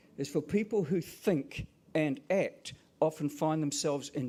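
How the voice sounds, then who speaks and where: A man with a New Zealand accent speaks at a fairly high pitch. His pitch varies in an ordinary way. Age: 60s. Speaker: professor and teacher. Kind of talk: conference keynote speech.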